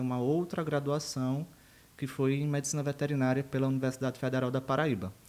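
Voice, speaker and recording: A man with a northeastern Brazilian accent speaks at a medium pitch. His intonation is monotone and flat. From Brazil, Rio Grande do Norte (northeast), small interior town. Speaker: university professor of animal science. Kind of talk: podcast interview.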